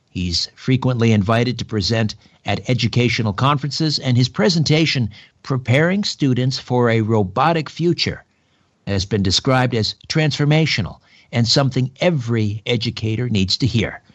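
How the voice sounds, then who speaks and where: A man has an ordinary speaking voice at a medium pitch. His pace is moderate, his loudness very even, and his pitch variation ordinary. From Canada, Ontario. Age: 50s. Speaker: radio host. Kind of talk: talk radio interview. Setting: home, mother's dining room table.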